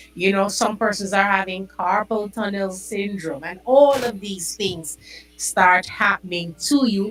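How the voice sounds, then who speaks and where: Over music in the background, a woman talks at a fairly slow pace with a medium pitch. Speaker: podcast host. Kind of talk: health talk podcast.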